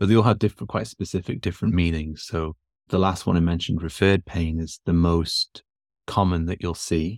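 A man's very deep, low voice with fairly even intonation at a fairly quick pace, dry and close with no echo, on a very clean recording with a silent background. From northern England. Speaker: physiotherapist. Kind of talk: interview conversation.

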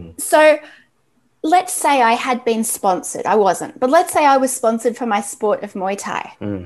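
A woman with an Australian accent, fairly high pitch, lively intonation and moderate pace. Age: 40s. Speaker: athlete branding expert. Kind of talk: interview.

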